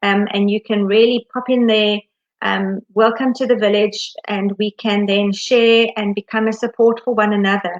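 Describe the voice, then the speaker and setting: A woman talks with fairly even intonation at a medium pitch. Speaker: education consultant. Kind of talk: live Q&A webinar. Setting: live stream. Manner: fast.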